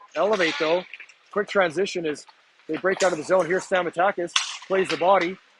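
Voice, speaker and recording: A man speaks in a high pitch with long, frequent pauses. Noticeable background noise runs underneath. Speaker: amateur hockey play-by-play commentator. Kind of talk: live commentary. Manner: fast, animated.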